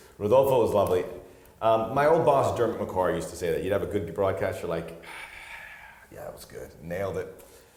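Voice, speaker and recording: Delivered at a fairly quick pace with long, frequent pauses, the speech has audible room echo. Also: man, big swings in loudness. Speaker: soccer play-by-play broadcaster and podcast co-host. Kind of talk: casual chat.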